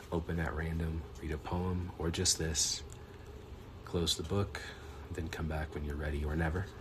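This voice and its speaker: Noticeable background noise sits behind a man with a very deep, low voice. He speaks at a moderate pace in a monotone, flat way, with long, frequent pauses. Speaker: poet. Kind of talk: poetry reading.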